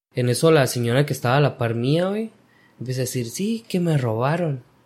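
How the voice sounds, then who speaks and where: A man talks at a moderate pace in a fairly high, somewhat breathy voice. His intonation is lively. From Guatemala. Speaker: construction worker. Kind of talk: casual chat. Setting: at the guest's home.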